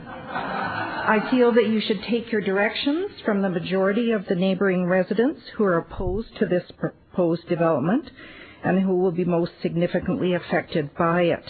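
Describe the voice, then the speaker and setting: A woman has a normal speaking voice at a medium pitch and moderate pace. Her loudness stays very even, with ordinary pitch variation. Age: 60s. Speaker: resident speaking at public hearing. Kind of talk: public hearing statement.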